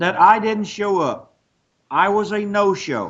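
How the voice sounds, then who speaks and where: The man has a high-pitched voice. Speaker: retired professional wrestler. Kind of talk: angry phone call. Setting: phone line. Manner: confrontational.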